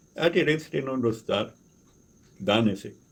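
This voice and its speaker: Speaking at a fairly slow pace, a man is heard. He has a non-native accent. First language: not Portuguese (speaking Portuguese). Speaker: resident activist vlogger. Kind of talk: complaint monologue. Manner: halting, repeats words.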